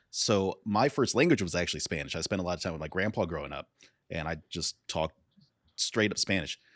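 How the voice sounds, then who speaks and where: A man talks at a fairly quick pace with a very deep, low pitch and lively intonation. The sound is dry and close with no echo, on a very clean recording with a silent background. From US, Mexican-American family. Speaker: podcast host. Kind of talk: casual chat.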